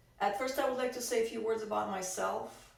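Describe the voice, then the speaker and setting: With audible room echo around her, a woman speaks with ordinary pitch variation. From Russia. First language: Russian. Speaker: activist. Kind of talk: testimony. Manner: halting.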